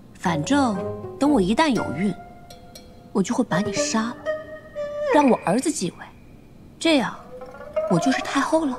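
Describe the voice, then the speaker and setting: Over clear background music, a woman speaks at a moderate pace with long, frequent pauses. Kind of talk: scripted drama dialogue. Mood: playful, mock-serious. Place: stage.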